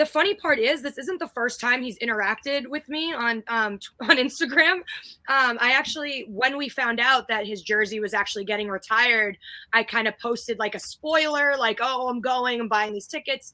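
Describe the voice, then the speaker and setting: Loud and animated, a woman speaks at a moderate pace in a high pitch with a bright, sharp tone and ordinary pitch variation. The recording is very clean, with a silent background. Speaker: guest co-host of a basketball fan livestream. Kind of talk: casual chat. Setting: live stream. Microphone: new mic after complaints about her mic.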